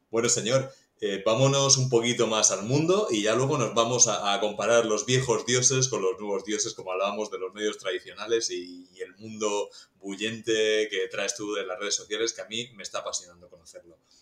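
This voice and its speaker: There are big swings in loudness as a man talks at a fairly quick pace. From Murcia, Spain. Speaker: podcast host and TV news journalist. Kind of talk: interview conversation.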